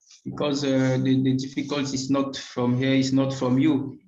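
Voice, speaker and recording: In a room with audible echo, a man with a French accent speaks in a fairly high voice. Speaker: regional consultant. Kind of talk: webinar presentation. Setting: online live stream. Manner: halting with many fillers.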